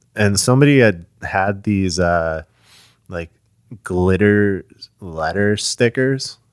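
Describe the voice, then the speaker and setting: Speaking at a very slow pace with long, frequent pauses, a man with a fairly low voice is heard in a very clean recording with a silent background. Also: ordinary pitch variation. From northern New Jersey. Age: 30s. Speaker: drummer. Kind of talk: casual chat. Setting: parents' house.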